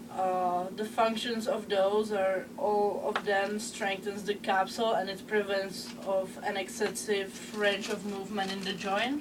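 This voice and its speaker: A woman with a Czech accent, monotone and flat, at a fairly slow pace with hardly any pauses, amid noticeable background noise and audible room echo. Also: medium pitch for a woman. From Czech Republic. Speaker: student presenter. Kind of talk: class presentation. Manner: halting, many filler sounds.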